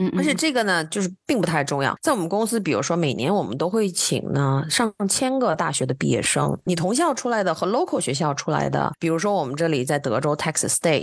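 A woman with a fairly low pitch talks at a fairly quick pace with hardly any pauses. Her pitch swings very widely while her loudness stays very even. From China. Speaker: IT executive, education guest. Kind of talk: casual interview.

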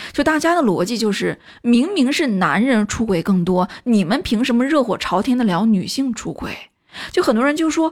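A woman talks at a moderate pace. Her high voice has very wide pitch swings. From China. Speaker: film commentary video host. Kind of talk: casual monologue commentary.

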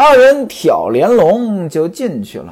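A man talks with lively intonation at an extremely high pitch. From northern China. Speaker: traditional storyteller. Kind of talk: storytelling narration. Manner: animated.

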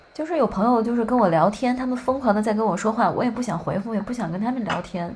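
A woman talks at a fairly high pitch while noticeable background noise plays behind her. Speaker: podcast host. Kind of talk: casual chat.

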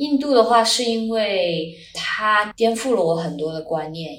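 A woman speaks at a very slow pace. Her voice carries audible room echo. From China. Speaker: world traveler and Chinese tutor. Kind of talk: casual interview.

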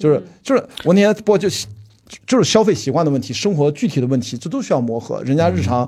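A man at a very fast pace, fairly high in pitch with very wide pitch swings, somewhat breathy, with a dark, mellow tone. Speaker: film producer and podcast host. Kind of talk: casual chat.

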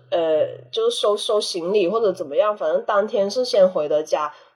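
A plain, everyday voice with lively intonation. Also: woman. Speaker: podcast guest, anthropology graduate. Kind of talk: casual chat.

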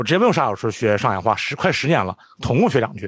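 Speech comes at a very fast pace on a very clean recording with a silent background, dry and close with no echo. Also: man. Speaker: podcast co-host. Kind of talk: casual chat.

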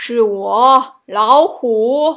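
A woman speaks in a put-on character voice at a very slow pace, her pitch fairly high. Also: fairly bright tone.

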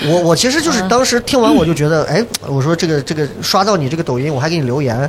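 Over noticeable background noise, a man speaks very fast at a high pitch, his voice swinging very widely up and down. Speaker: podcast host and former TV host. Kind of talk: live podcast recording, casual chat. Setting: stage with live audience.

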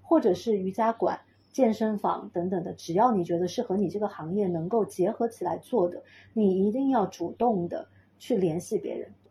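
A woman with a somewhat breathy, medium-pitched voice talks at a moderate pace with lively intonation. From Chengdu, Sichuan, China. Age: 30s. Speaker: sound healer and pilates teacher. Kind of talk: casual interview chat.

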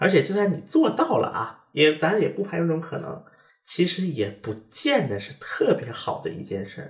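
Speaking at a moderate pace, a man with a high pitch makes very wide pitch swings and big swings in loudness. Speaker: podcast host and former correspondent in Korea. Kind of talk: casual chat.

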